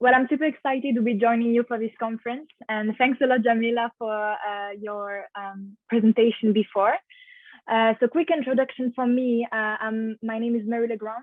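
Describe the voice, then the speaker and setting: A woman's fairly high voice in a French accent, moderate in pace and fairly even in intonation. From France. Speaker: finance master's student. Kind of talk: webinar presentation.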